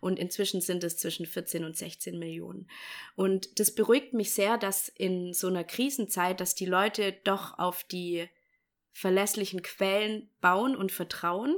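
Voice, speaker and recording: The voice moves at a fairly slow pace with fairly even intonation, an ordinary speaking voice. It is a very clean recording with a silent background. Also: woman, medium pitch for a woman. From Bavaria, Germany. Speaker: podcast host. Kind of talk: casual chat; informative monologue.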